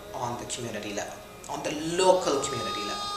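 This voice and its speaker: With clear music playing behind her and audible room echo, a woman speaks at a very deep, low pitch. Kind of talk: interview answer. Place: home room.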